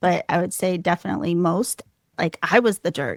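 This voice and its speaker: A soft-spoken woman's fairly low voice with ordinary pitch variation, dry and close with no echo, on a very clean recording with a silent background. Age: 40s. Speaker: wellness counselor and intuitive reader. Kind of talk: casual interview.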